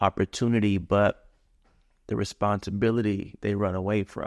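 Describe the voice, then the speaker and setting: On a very clean recording with a silent background and a dry, close sound with no echo, a man with an unremarkable speaking voice talks at a fairly slow pace, a fairly low pitch and fairly even intonation. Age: 40s. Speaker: father. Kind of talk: casual chat.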